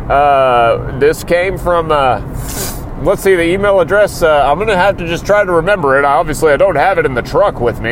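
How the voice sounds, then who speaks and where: A man is heard speaking. Noticeable background noise runs beneath him. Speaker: wrestling podcast host. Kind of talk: casual podcast monologue, comedic. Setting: in a truck. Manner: animated, jokey.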